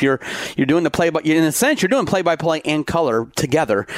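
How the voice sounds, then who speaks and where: A man at a fairly quick pace, in a dry, close sound without echo, with noticeable background noise. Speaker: podcast host and radio broadcaster. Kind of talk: casual chat.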